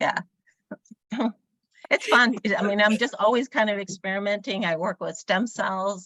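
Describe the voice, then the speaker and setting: A woman talks at a moderate pace with long, frequent pauses. Her medium-pitched voice keeps a fairly even intonation. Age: 60s. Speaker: energy healer. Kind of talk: interview. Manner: hesitant, many fillers.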